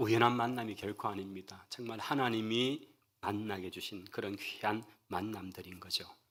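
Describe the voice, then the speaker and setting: With a Gyeongsang accent, a man speaks at a moderate pace in a fairly low pitch with fairly even intonation. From Daegu, South Korea. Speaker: pastor. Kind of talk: sermon. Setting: church.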